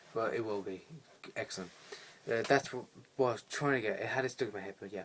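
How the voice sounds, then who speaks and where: Against noticeable background noise, a man with a medium pitch talks at a very fast pace with ordinary pitch variation. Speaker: film reviewer. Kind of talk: casual video review. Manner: rambling, hesitant with fillers.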